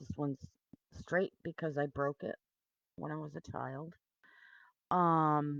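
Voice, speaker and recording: Mumbled speech at a fairly slow pace, broken by long, frequent pauses, with a dry, close sound and no echo. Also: woman. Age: 50s. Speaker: video blogger. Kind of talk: personal testimony. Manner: mumbling; halting.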